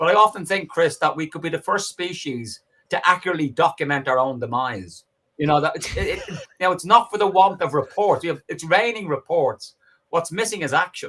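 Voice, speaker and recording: A man speaks at a fairly quick pace with a Dublin accent, his pitch high and his intonation lively. His tone is bright, sharp and animated. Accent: Dublin Irish. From Ireland, Dublin working-class. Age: 60s. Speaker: professor and political activist. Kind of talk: podcast interview.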